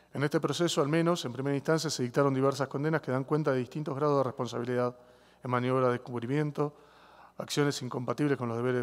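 A man's intonation stays rather level. He talks very fast. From Argentina. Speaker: government legal representative. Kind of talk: formal legal argument. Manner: formal. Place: hall. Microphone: podium.

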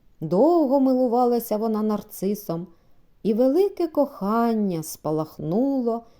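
Lively intonation over plain reading aloud

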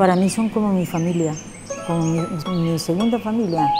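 Loud background noise sits behind speech delivered at a fairly slow pace. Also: woman. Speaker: community volunteer. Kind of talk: interview answer. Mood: warm, proud, content. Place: hall.

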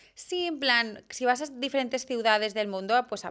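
The background stays quiet while a woman talks at a moderate pace. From Barcelona, Spain; Spain. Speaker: fashion content creator and stylist; fashion content creator. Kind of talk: casual interview chat. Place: studio. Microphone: studio mic.

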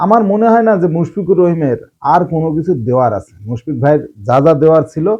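A man's fairly high-pitched voice with a dark, mellow tone and very wide pitch swings. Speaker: cricket commentator. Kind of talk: opinion monologue. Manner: animated.

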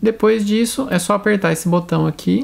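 A woman at a moderate pace. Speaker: product reviewer. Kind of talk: tutorial. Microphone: phone near.

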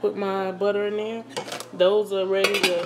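Noticeable background noise is present throughout. The delivery comes at a fairly slow pace. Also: woman. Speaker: home cook vlogger. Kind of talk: casual vlog chat. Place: kitchen. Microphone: phone near.

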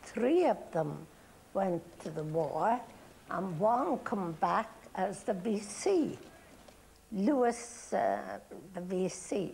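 The voice is somewhat breathy, very slow in pace, with light background noise. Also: woman. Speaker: interviewee. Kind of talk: interview answer. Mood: calm nostalgic. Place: studio. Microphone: lapel.

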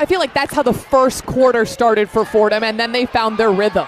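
Noticeable background noise behind a male voice, its pitch varying in an ordinary way and its sound dry, with no echo. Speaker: basketball play-by-play commentator. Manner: fluent, crisp and descriptive, with a broadcast polish. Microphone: headset.

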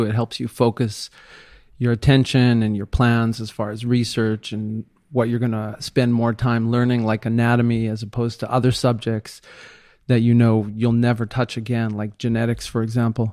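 Fairly quick, monotone, flat speech in a dry, close sound with no echo, on a very clean recording with a silent background. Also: man. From Israel. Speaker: plastic surgeon. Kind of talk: interview. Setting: home by the sea, in person.

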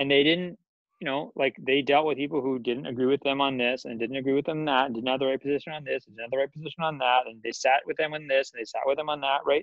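Against a quiet background, a man with a fairly high pitch speaks at a very fast pace with fairly even intonation, the sound dry with no echo. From Washington D.C. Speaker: professor of Islamic studies; podcast guest. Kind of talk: casual interview chat. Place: home room. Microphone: earbuds.

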